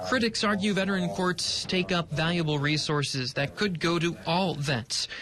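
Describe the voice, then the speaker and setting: At a moderate pace and with hardly any pauses, a man talks in a high pitch over noticeable background noise. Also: ordinary pitch variation. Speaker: morning news anchor and reporter. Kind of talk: TV news package voiceover.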